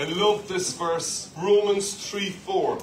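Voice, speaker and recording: A man with an Irish accent at a very slow pace, amid light background noise and audible room echo. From Ireland. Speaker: pastor. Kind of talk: sermon. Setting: church with live congregation. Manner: animated, call-and-response preaching with humour. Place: church. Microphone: handheld.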